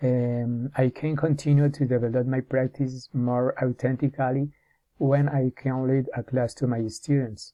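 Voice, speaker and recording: A man speaks with a Spanish accent at a fairly slow pace. His intonation stays monotone and flat. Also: medium pitch for a man. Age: 40s. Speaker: English teacher in training. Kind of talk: prepared self-presentation. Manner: halting, with many hesitations and restarts.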